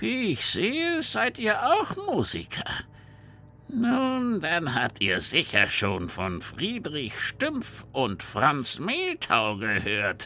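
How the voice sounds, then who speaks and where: Putting on a character voice, a man speaks very slowly at a high pitch over clear background noise. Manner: eerie, menacing.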